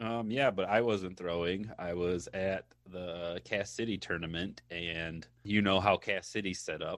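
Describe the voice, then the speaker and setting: Fairly slow speech with hardly any pauses, ordinary pitch variation and an American accent, over a quiet background. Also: man, very deep, low pitch for a man. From Michigan. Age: 20s. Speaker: podcast co-host. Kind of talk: casual chat.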